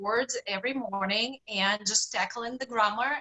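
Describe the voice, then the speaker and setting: A woman with a Russian accent speaks at a fairly slow pace. Her pitch is high, with ordinary variation. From Russia, Saint Petersburg. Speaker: health and fitness coach. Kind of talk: interview.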